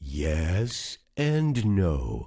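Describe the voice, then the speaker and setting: A man puts on a character voice at a very deep, low pitch. His pitch swings very widely. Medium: read story. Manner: thoughtful, calm.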